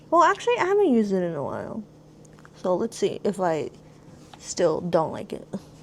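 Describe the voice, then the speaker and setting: A woman speaks with an American accent, leaving long, frequent pauses. Noticeable background noise is present. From Los Angeles, California. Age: 30s. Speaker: streamer and beauty creator. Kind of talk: casual makeup tutorial chat. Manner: casual, some stumbling.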